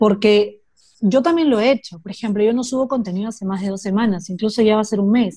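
Somewhat breathy and dark, mellow in tone, a woman talks at a moderate pace with a fairly high pitch. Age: 20s. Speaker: psychologist. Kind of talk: casual interview chat. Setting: video call.

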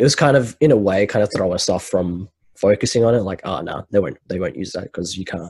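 This man talks at a very fast pace with a fairly low pitch. His intonation is lively and his voice somewhat breathy. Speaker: podcast host. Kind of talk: casual chat. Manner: casual, laughs often.

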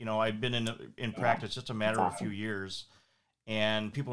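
A man with an Upper Midwest accent, medium pitch, and a fairly quick pace. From Minnesota, St. Paul. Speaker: podcast host and family lawyer. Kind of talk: casual interview. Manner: halting.

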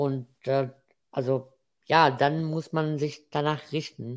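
A man with an Arabic accent speaks at a fairly high pitch on a very clean recording with a silent background. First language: Arabic (speaking German). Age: 20s. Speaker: student and freelance web developer. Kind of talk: casual interview. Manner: halting.

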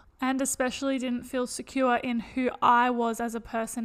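With an Australian accent, a woman speaks in a high pitch with monotone, flat intonation. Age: 20s. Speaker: podcast co-host. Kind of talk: casual chat.

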